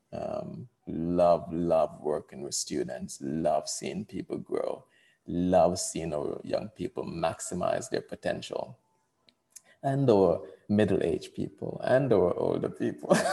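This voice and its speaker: A man with a Jamaican accent speaks at a very slow pace. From Jamaica (Portland parish). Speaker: coach and educator. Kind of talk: casual chat. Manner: animated, laughs often.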